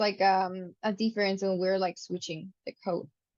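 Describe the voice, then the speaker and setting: This woman speaks with a Spanish accent. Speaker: student. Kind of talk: study group discussion.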